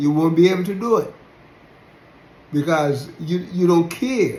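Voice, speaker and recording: Fairly slowly and with audible room echo, a man speaks with a Jamaican accent. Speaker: religious teacher. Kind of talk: sermon-style talk. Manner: halting, repetitive.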